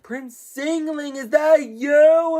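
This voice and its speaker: The speaker uses a put-on character voice. It sits at a high pitch. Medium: read story.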